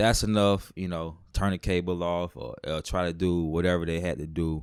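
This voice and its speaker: A man with an Alabama accent speaks at a moderate pace in a very deep, low pitch. His intonation is fairly even, and the recording is very clean with a silent background. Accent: Alabama Southern. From US South, Montgomery, Alabama. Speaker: rapper. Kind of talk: casual interview chat.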